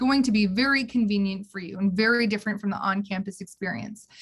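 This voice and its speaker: Somewhat breathy, a woman talks at a very fast pace and a fairly high pitch. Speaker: university housing staff presenter. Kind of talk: online orientation presentation. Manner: animated.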